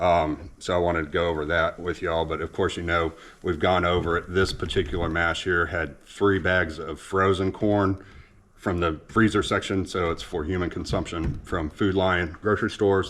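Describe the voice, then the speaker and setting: A man's very deep, low voice in an American accent, at a moderate pace with monotone, flat intonation. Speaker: home ethanol experimenter, video blogger. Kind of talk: casual vlog explanation. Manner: halting, many fillers and restarts.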